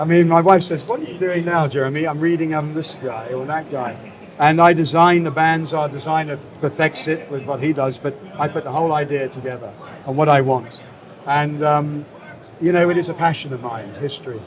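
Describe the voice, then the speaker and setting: A fairly high-pitched man with a British accent and fairly even intonation, amid noticeable background noise and audible room echo. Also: fairly quick pace. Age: 60s. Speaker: cigar brand founder. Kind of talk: interview. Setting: trade fair.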